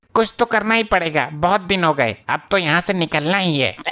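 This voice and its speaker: A man does a cartoonish character voice, high-pitched, at a fairly quick pace with ordinary pitch variation and very even loudness. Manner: rustic, joking.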